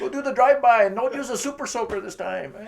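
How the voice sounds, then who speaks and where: A man with an extremely high pitch talks at a fairly quick pace with lively intonation over noticeable background noise. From Los Angeles (Pacoima), raised in Mexican family. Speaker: comedian. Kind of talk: stand-up. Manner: animated.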